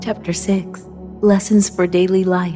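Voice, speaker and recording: Music plays in the background as a woman speaks. Her medium-pitched voice is monotone, with flat intonation. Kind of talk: scripture reading. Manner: clear, contemporary delivery.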